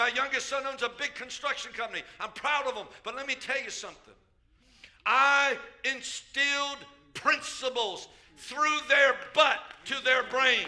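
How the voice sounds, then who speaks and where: A man talks fairly slowly in a raised, projected voice. His pitch is extremely high. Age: 70s. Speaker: pastor. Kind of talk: sermon. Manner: animated.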